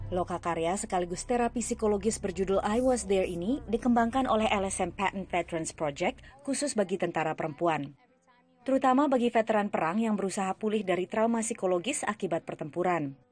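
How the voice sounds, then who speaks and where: Talking at a very fast pace with lively intonation, a woman holds a medium pitch and keeps her loudness very even. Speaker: news reporter. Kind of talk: news reading, scripted report voiceover. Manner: formal, even-paced, steady broadcast delivery.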